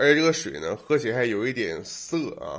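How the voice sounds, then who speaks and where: A man's fairly high, animated voice with very wide pitch swings at a moderate pace. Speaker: gaming video creator. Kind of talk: casual vlog monologue. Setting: home recording. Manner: animated, jokey.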